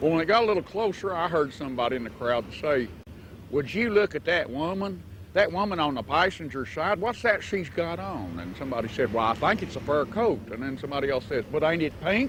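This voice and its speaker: A man's fairly high, fry-laden voice with an Appalachian accent and very wide pitch swings. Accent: Appalachian Southern US. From US South, western North Carolina mountains. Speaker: storyteller. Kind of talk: storytelling. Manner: folksy, conversational.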